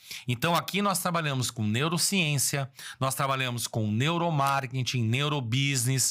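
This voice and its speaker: A man's fairly high voice, animated in tone, at a moderate pace, with ordinary pitch variation and very even loudness. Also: very clean recording, silent background. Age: 60s. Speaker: business consultant. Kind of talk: motivational business talk.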